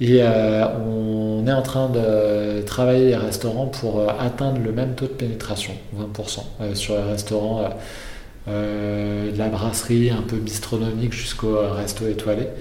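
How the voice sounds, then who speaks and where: A man speaks at a very slow pace in a fairly low-pitched, monotone, flat voice. There is audible room echo and noticeable background noise. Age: 30s. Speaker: entrepreneur. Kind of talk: interview. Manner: hesitant, many fillers.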